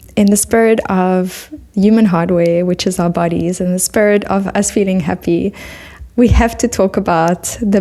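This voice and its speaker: A woman speaks in a South African accent over noticeable background noise. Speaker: podcast host. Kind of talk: interview. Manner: animated.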